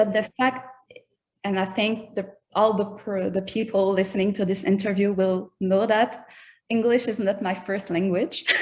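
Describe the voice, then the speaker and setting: A woman speaks with a Quebec accent at a moderate pace and medium pitch. Her voice is somewhat breathy, and her intonation stays fairly even. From Quebec, Canada. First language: French. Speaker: rapper. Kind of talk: interview. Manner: halting.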